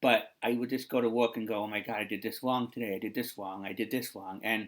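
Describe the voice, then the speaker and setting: With a medium pitch and ordinary pitch variation, a man speaks at a moderate pace. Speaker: vlogger who works with kids. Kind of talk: personal reflection vlog. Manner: halting.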